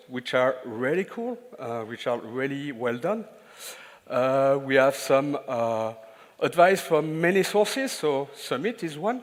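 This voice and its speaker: A man speaks at a fairly slow pace with a French accent. His pitch is fairly high, and his intonation is lively. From France. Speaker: IT consultant and trainer. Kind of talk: conference talk. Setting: stage with audience. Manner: halting, many filler sounds.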